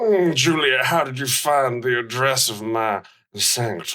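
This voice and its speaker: A man's put-on character voice at medium pitch, fairly slow, with lively intonation. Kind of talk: comic overacting. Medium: audio drama. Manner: stiff, oddly formal.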